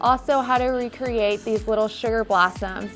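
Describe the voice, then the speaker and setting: With music in the background, a woman speaks in a Midwestern American accent. Her pitch is fairly high, with ordinary variation and a moderate pace. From US Midwest. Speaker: cake decorator. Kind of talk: cake decorating tutorial narration.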